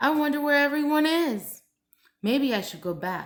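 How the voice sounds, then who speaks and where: A woman uses a put-on character voice with a high pitch at a moderate pace. The recording is very clean, with a silent background. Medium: read story. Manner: excitable.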